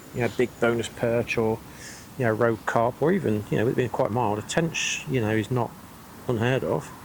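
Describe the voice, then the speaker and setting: With an English accent, a man speaks at a moderate pace, his loudness very even and his pitch variation ordinary. Noticeable background noise runs underneath. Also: medium pitch for a man. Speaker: angling vlogger. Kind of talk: casual fishing vlog talk to camera. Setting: outdoors at a pond. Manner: whispering.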